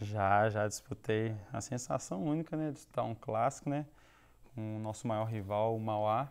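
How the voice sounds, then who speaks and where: A man speaks at a moderate pace, his medium-pitched voice rising and falling in an ordinary way. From Minas Gerais, Belo Horizonte. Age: young. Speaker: football player. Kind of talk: TV interview.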